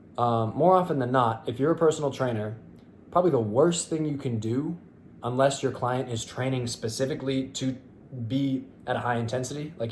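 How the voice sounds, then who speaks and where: Somewhat breathy, a man talks at a medium pitch and a fairly quick pace with ordinary pitch variation. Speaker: fitness youtuber and bodybuilder. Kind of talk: casual monologue to camera. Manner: fast; hesitant, many fillers.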